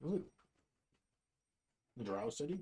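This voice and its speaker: This man uses a put-on character voice pitched fairly high. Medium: actual play.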